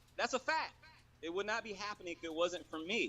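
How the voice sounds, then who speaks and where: A man's high-pitched voice with very wide pitch swings over noticeable background noise. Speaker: poker player. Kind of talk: heated phone-in interview. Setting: call from outside a store. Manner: fast.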